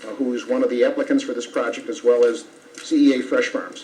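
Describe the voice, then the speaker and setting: A man talks fairly quickly, his pitch swinging very widely, with noticeable background noise underneath. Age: 70s. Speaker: attorney for applicant. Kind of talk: legal argument at public hearing. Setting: town board meeting room. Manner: formal.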